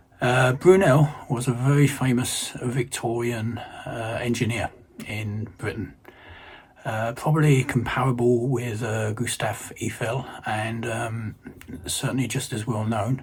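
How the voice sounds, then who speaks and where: A man at a medium pitch, fairly slow in pace, with fairly even intonation over noticeable background noise. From London, England. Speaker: retired electrical engineer. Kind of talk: casual self-introduction for language learners. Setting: recorded video message. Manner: hesitant, many fillers.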